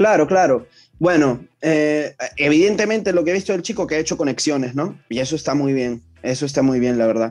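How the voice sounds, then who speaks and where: A man talks at a very fast pace with a fairly high pitch. His pitch variation is ordinary, and the background is quiet. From Peru, Callao (Ventanilla). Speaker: rapper. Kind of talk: interview.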